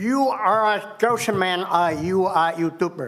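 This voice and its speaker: With lively intonation, the speech moves at a very slow pace amid audible room echo. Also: man. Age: 70s. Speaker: resident speaking at public comment. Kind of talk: public comment at city council meeting. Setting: city council chamber.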